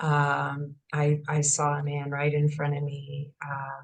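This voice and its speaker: Somewhat breathy, a woman with an American accent speaks in a very deep, low voice. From St. Louis, Missouri. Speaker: speaker and real estate broker. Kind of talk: testimony. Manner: halting.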